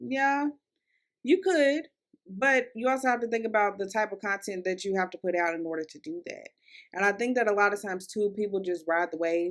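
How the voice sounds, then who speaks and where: A woman's medium-pitched voice in a Kentucky accent, fairly quick and with lively intonation, on a very clean recording with a silent background. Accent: Kentucky Southern accent, getting stronger. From US South, Louisville, Kentucky. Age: 20s. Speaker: podcast host, content creator. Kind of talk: casual solo podcast monologue. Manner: conversational, chatty with fillers.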